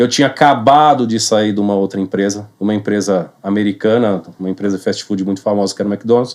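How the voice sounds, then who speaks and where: Using an ordinary speaking voice, a man talks with hardly any pauses. His pitch is fairly low and his intonation fairly even. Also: fairly quick pace. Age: 40s. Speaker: real estate sales manager. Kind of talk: podcast interview.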